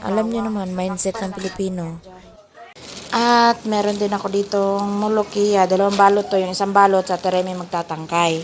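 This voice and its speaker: Over noticeable background noise, a woman talks at a medium pitch and a fairly slow pace in a monotone, flat intonation. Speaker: overseas domestic worker vlogger. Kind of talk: cooking vlog. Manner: casual, chatty.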